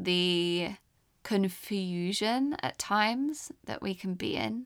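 A woman speaks at a very slow pace with lively intonation and big swings in loudness. The recording is very clean, with a silent background. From England (London, English countryside). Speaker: podcast host. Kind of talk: personal storytelling monologue. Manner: gentle, reflective.

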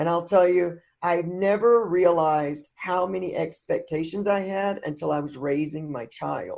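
With a Southern US accent, a woman talks at a moderate pace in a fairly low voice with ordinary pitch variation and hardly any pauses. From US Deep South. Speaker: recovery podcast guest. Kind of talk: casual interview.

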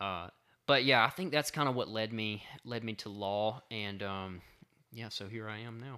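In a Southern US accent, a man with fairly low pitch and a bright, sharp tone shows big swings in loudness, captured on a very clean recording with a silent background. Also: ordinary pitch variation, moderate pace. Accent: Southern US (Georgia). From South Georgia, US. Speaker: law student and hunter. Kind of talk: casual chat.

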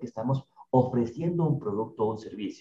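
A man's somewhat breathy, dark and mellow voice, with lively intonation and a fairly quick pace. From Ecuador, Ambato. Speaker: co-host, digital and business strategist. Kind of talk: business podcast explainer.

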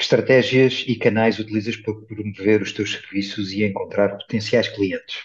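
A man's somewhat breathy, fairly low voice, monotone and flat, at a moderate pace with hardly any pauses. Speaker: podcast host. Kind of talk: interview.

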